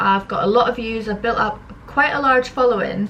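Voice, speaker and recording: With a Scottish accent, a woman speaks at a moderate pace and fairly high pitch, with ordinary pitch variation, over noticeable background noise. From Scotland, Edinburgh. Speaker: social media comedian. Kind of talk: casual Q and A vlog.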